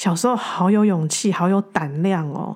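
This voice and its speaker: A woman with a Taiwanese accent. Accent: Taiwanese Mandarin. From Taiwan, Taichung. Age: 40s. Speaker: podcast host, spiritual teacher. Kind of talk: reflective spiritual monologue. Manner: halting, frequent repetitions.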